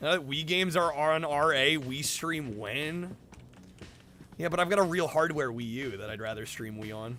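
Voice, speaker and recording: Over noticeable background noise and audible room echo, a man talks at a fairly high pitch and a moderate pace with lively intonation. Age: 20s. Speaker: video game streamer. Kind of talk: live stream chat reading comments. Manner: casual, halting with repetitions.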